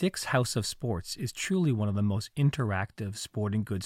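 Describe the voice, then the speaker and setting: In a very clean recording with a silent background and a dry, close sound with no echo, a man talks at a moderate pace in a fairly low, somewhat breathy voice with ordinary pitch variation. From Canada, Montreal. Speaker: podcast host. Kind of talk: scripted narration; interview.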